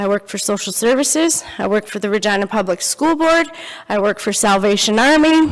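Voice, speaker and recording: Amid noticeable background noise, a woman speaks at a fairly quick pace, her fairly high voice full of lively intonation. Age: 40s. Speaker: speaker sharing life story. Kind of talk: testimony. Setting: church. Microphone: handheld microphone given after audibility problems.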